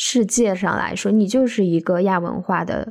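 A woman's unremarkable speaking voice, medium in pitch with ordinary pitch variation, at a fairly slow pace. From northeastern China, Daqing. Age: 30s. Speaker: podcast co-host. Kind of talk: casual chat. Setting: remote recording.

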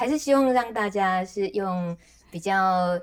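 A woman with a Taiwanese accent, ordinary pitch variation and a fairly slow pace. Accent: Taiwanese Mandarin, fluent Taiwanese Hokkien. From Taiwan, rural Taichung. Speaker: rural radio host. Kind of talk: interview.

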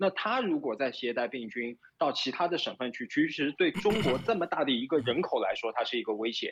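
A man's fairly high voice at a fairly quick pace, with very wide pitch swings and hardly any pauses. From Shanghai, China. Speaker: Shanghai resident during lockdown. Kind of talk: casual interview.

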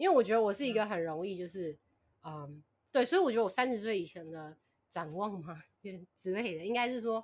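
At a moderate pace, a woman speaks at a medium pitch with lively intonation. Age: 20s. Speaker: podcast listener guest. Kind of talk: casual chat.

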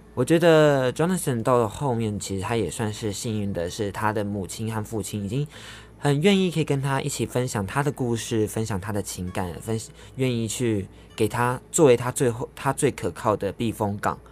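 Over music in the background, a man of medium pitch talks at a fairly quick pace with lively intonation. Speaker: radio host. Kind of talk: radio show hosting. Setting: radio studio.

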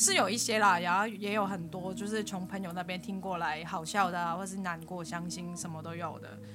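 Talking at a fairly quick pace with hardly any pauses, a woman with a medium pitch keeps her intonation fairly even over music in the background. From Hong Kong. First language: Cantonese (speaking Chinese). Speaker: podcast co-host, architecture student. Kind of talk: casual chat.

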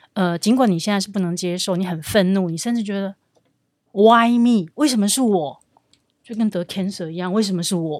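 A woman's energetic tone at a medium pitch, with ordinary pitch variation and a fairly quick pace. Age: 50s. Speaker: recruitment company executive. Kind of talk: interview.

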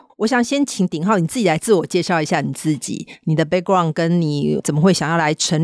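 A woman's fairly low, plain, everyday voice at a fairly quick pace, with ordinary pitch variation and hardly any pauses. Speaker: podcast host, tech company executive. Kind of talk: interview.

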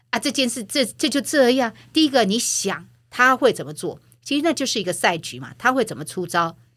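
Her loudness swings a lot and her pitch moves through very wide swings. The woman talks at a fairly quick pace with a high pitch. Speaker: former media executive and author. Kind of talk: interview.

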